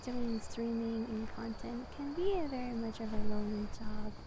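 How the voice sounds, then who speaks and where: Fairly slow speech from a woman with a fairly high pitch and fairly even intonation, over noticeable background noise. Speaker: VTuber ASMR creator. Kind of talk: casual venting about life. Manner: hesitant, rambling.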